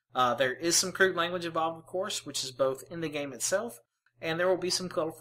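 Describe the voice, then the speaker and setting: A woman's very fast, fairly low-pitched voice with ordinary pitch variation and a strong Mississippi accent. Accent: thick Mississippi. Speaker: gaming video creator. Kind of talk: let's play commentary. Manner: hesitant, many fillers.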